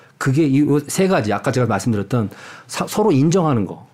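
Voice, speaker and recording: Talking at a very fast pace, a man with a medium-pitched, dark, mellow voice makes very wide pitch swings on a very clean recording with a silent background. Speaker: university professor of international relations. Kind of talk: interview. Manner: animated.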